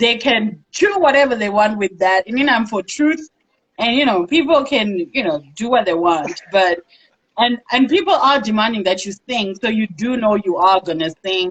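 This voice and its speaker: A woman speaks at a moderate pace in a fairly high, somewhat breathy voice with lively intonation. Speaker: talk show host. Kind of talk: interview.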